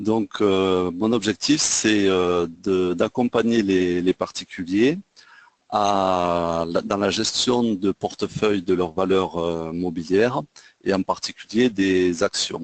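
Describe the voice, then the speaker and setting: In a Toulouse accent, a man speaks very slowly at a very deep, low pitch with fairly even intonation, the sound dry and close with no echo. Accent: southwest French (Toulouse). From southwest France, Toulouse. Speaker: trading trainer. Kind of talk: webinar lecture. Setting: online webinar. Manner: hesitant, many fillers. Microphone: sound reported good.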